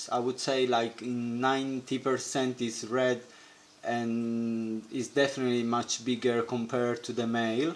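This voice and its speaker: This man has a non-native accent and a medium pitch, speaking at a fairly slow pace. His intonation is monotone and flat, and the recording is very clean with a silent background. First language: not English. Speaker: aquarium hobbyist. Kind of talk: tutorial. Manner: halting.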